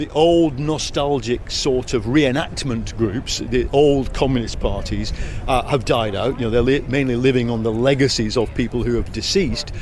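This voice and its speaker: Someone with an English accent speaks at a moderate pace, with audible room echo and noticeable background noise. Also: man. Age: 60s. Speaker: journalist and author. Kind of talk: interview. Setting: political party conference.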